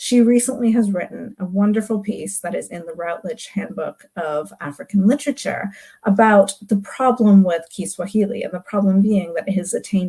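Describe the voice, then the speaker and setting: The speaker is a somewhat breathy woman. She moves at a fairly quick pace. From global South heritage, multilingual upbringing. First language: non-English heritage language. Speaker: literature academic. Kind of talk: recorded talk.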